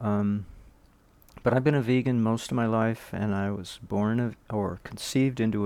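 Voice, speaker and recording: A man at medium pitch speaking at a fairly quick pace with fairly even intonation, recorded very cleanly against a silent background. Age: 60s. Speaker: health vlogger. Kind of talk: casual monologue. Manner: halting.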